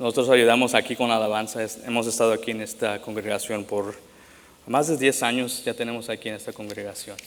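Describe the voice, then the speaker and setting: Fairly quick and monotone, a man delivers his words in a medium pitch with flat intonation. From Latin America, moved to US young. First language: English now dominant; Spanish rusty (speaking Spanish). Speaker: pastor. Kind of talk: sermon. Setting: church. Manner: halting, many fillers and restarts.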